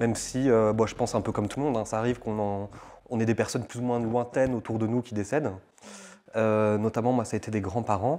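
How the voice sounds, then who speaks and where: A man's dark, mellow tone at a very fast pace, with fairly even intonation. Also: medium pitch for a man. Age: 20s. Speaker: interviewee sharing faith testimony. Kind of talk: testimony interview. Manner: halting, many fillers.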